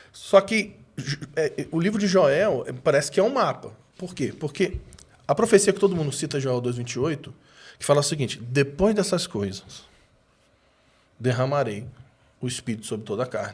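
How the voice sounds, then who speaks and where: A man's fairly high, somewhat breathy voice at a moderate pace, with long, frequent pauses and very wide pitch swings. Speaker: preacher. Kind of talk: casual chat.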